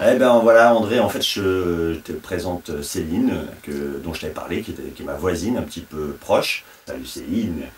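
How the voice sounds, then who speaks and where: His loudness swinging widely, a man talks at a moderate pace. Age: 40s. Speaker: interviewee, part-time association employee. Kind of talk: casual chat. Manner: halting.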